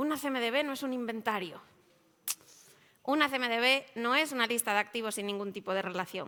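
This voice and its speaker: A woman with a bright, sharp tone talks at a fairly quick pace and fairly high pitch with ordinary pitch variation, leaving long, frequent pauses. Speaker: IT service management consultant. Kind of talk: conference presentation. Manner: fast.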